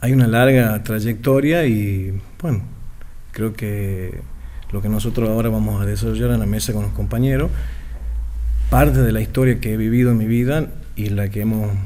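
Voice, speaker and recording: A man with a Tucumán accent speaks at a moderate pace with long, frequent pauses, and room echo is audible. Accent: Tucumán Argentine Spanish. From Argentina, Tucumán. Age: 40s. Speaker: political activist. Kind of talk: radio interview.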